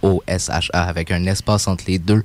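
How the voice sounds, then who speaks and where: Very slowly, a man speaks in a very deep, low voice with monotone, flat intonation. The recording is very clean, with a silent background. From Quebec (Mont-Saint-Hilaire). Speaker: rapper. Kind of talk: casual interview chat.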